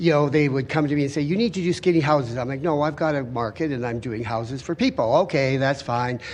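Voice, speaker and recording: A man rattles along at a very fast pace with hardly any pauses, his fairly high pitch varying by ordinary amounts. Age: 60s. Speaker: home builder and renovator. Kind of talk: public hearing testimony.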